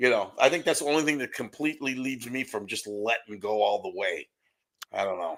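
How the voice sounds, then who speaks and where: A man with a plain, everyday voice talks at a fairly quick pace, at medium pitch, with lively intonation. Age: 60s. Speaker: podcast co-host. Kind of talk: casual chat.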